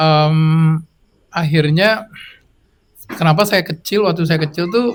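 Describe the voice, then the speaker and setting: Speaking at a very slow pace with long, frequent pauses, this man has a fairly high pitch. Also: ordinary pitch variation. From Minangkabau heritage (West Sumatra). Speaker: musician, singer-songwriter. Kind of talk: interview discussion. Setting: live event with audience. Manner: halting, searching for words.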